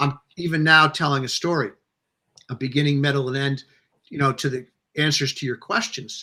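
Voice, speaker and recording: Long, frequent pauses break up a man's moderate-paced speech, which has a bright, sharp tone, a fairly high pitch, and fairly even intonation. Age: 60s. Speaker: novelist. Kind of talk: interview. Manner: rambling, halting.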